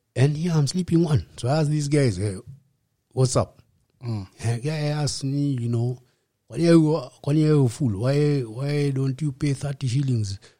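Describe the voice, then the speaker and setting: The speech comes at a fairly slow pace with long, frequent pauses, a somewhat breathy, dark, mellow tone and ordinary pitch variation. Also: man, fairly high pitch for a man. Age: 50s. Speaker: rehab center founder, recovered alcoholic. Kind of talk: testimony. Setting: host's home.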